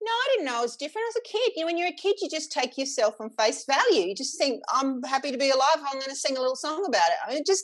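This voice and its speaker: Barely pausing, a woman with an Australian accent races along at a very fast pace in a high pitch with very wide swings. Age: 40s. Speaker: singer and sound healer. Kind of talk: casual interview chat.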